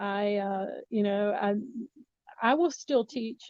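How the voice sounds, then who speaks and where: This woman has a normal speaking voice, fairly high in pitch, with an American accent. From US South, Miami, Florida. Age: 60s. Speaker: communication professor. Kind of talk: interview.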